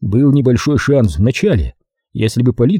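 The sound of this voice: Quiet background behind an unforced reading voice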